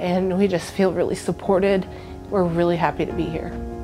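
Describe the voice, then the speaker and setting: Clear music plays in the background. Over it, a woman speaks with a fairly low pitch. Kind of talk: interview answer. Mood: emotional, grateful. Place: home room. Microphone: lapel.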